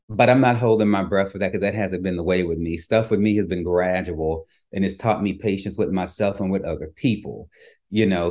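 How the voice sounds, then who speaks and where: A man with a slight Louisiana accent, fairly low pitch, fairly even intonation and a fairly quick pace, over a quiet background. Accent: slight Louisiana twang. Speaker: author and podcaster. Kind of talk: interview conversation.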